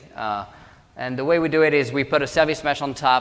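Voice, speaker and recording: Against noticeable background noise, a man with a fairly high pitch talks at a very fast pace, with ordinary pitch variation. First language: French. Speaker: government technology executive. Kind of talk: conference talk.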